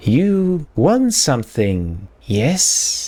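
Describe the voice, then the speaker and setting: The voice is a put-on character voice full of hissing. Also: man. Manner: hissing, drawn-out, sensual.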